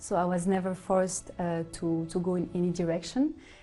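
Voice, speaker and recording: A woman's fairly low-pitched voice with music in the background. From Switzerland, Geneva. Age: 20s. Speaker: hospitality consultant. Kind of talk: interview testimony. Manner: halting, many fillers.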